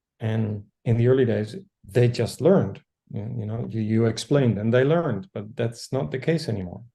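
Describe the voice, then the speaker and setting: A man speaks in a Dutch accent at a moderate pace. His tone is dark, mellow and somewhat breathy, with ordinary pitch variation. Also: medium pitch for a man. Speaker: educator. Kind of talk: group discussion. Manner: halting.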